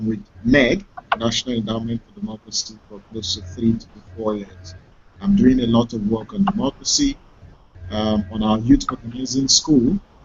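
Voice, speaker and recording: A man at a moderate pace, with big swings in loudness, ordinary pitch variation and noticeable background noise. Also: medium pitch for a man. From Nigeria. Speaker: youth advocacy worker, debater. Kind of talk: online debate. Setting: video call.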